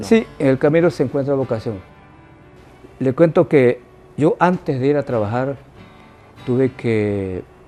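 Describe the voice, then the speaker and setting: A man at medium pitch with lively intonation, a fairly slow pace and long, frequent pauses, music in the background. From Ecuador, Manabí (Montecristi). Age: 80s+. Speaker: retired teacher. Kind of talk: interview answer.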